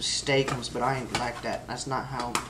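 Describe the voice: Man at medium pitch, fairly even intonation and fairly bright tone, over faint background noise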